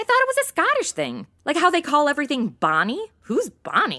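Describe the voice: A woman uses a put-on character voice, high-pitched with very wide pitch swings. Her tone is bright and sharp, and the pace is fairly quick.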